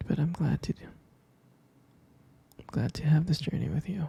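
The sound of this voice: Dark and mellow in tone, the voice has a husky, rough edge and vocal fry. It moves at a moderate pace with ordinary pitch variation. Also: man, fairly high pitch for a man.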